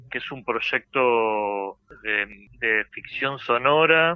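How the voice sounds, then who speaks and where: The man speaks with ordinary pitch variation. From Argentina, Entre Ríos (Concepción del Uruguay). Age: young. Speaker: theatre director and playwright. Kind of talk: interview. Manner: halting, many repetitions.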